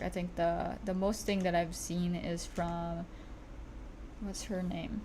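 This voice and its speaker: A woman talks fairly slowly, and audible room echo follows her words. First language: not English. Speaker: streamer and digital artist. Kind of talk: casual livestream chat while drawing. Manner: halting, self-correcting.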